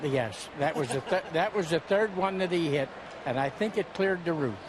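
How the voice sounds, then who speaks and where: This man's voice sits high in pitch and holds a very even loudness. He speaks at a moderate pace over noticeable background noise. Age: 80s+. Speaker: war veteran. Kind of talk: interview. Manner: halting.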